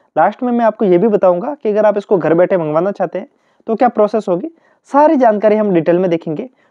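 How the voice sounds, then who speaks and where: In a high voice, a man speaks with ordinary pitch variation. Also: moderate pace. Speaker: YouTuber reviewing exam study notes. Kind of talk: product review talk to camera.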